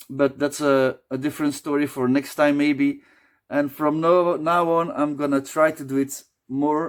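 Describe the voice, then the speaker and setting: Using monotone, flat intonation, a man with a non-native accent speaks at a fairly slow pace and fairly high pitch. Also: very clean recording, silent background. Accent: non-native English, noticeable. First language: Dutch. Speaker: beer reviewer, video creator. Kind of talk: casual vlog talk to camera. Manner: halting, self-correcting.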